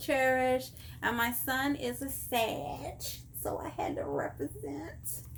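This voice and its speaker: A woman with a Texan accent at a very slow pace, with audible room echo. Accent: Texan Southern US. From Texas. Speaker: vlogger. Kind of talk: casual chat.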